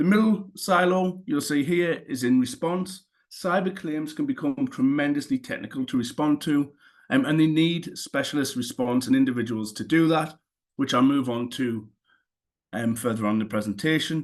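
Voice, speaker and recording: Against a quiet background, a man with a Newcastle accent and a fairly high pitch speaks at a moderate pace with lively intonation. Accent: Newcastle (Geordie). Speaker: cyber insurance claims specialist. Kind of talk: webinar presentation.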